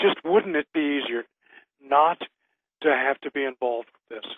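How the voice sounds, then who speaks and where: Moderate-paced speech from a man, fairly high in pitch. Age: 60s. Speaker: military veteran. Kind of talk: casual chat. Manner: halting.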